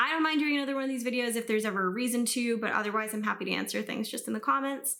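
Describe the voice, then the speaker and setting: A woman at a very fast pace, fairly high pitch and ordinary pitch variation. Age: 20s. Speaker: YouTube reaction creator. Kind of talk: casual Q&A talk to camera. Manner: casual with many fillers.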